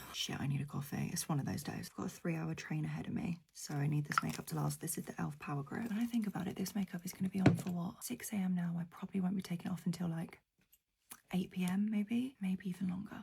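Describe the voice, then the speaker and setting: Quiet and very fast, a woman with a British accent speaks at a fairly low pitch. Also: ordinary pitch variation. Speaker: beauty vlogger. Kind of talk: get ready with me makeup chat. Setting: at home early morning, others asleep next door. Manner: talking quietly.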